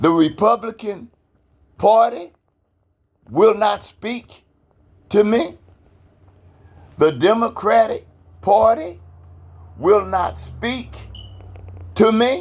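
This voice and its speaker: At a very slow pace, a man with a high pitch talks with ordinary pitch variation and long, frequent pauses. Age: 70s. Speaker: activist / citizen vlogger. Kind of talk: personal appeal monologue. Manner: impassioned.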